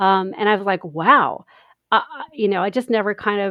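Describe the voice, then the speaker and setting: A woman at medium pitch and moderate pace, in a normal speaking voice. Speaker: podcaster. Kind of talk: casual chat.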